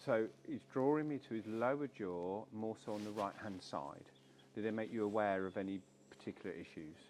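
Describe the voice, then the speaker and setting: A man at a fairly low pitch and moderate pace with ordinary pitch variation. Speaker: animal communicator. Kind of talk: consultation session. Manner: halting.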